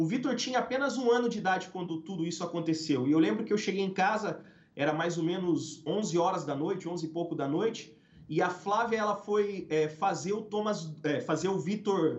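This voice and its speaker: High-pitched male voice with ordinary pitch variation, audible room echo and noticeable background noise. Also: moderate pace. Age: 30s. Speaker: pastor. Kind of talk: testimony.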